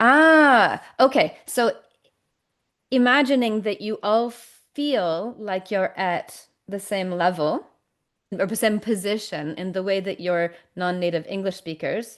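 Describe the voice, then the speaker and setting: Against a quiet background, the speaker talks at a very slow pace with lively intonation. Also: woman, medium pitch for a woman. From Canada. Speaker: communication coach. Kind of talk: interview conversation.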